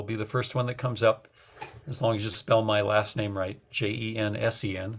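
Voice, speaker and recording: A man with an American accent speaks at a fairly low pitch in a somewhat breathy voice. His intonation is monotone and flat. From US Midwest, North Dakota. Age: 60s. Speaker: author and environmental activist. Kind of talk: radio interview. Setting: radio show. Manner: halting, many fillers and repetitions.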